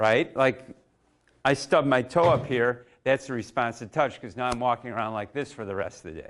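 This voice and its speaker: With a normal speaking voice, a man talks at a moderate pace and medium pitch, showing ordinary pitch variation and big swings in loudness. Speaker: coach. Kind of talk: live demonstration workshop.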